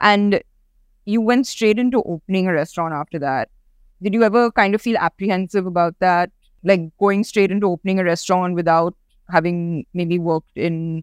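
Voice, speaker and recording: A woman with a normal speaking voice talks at a moderate pace and medium pitch with ordinary pitch variation, in a very clean, dry, close recording with a silent background and no echo. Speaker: podcast host. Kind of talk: casual interview. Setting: studio kitchen.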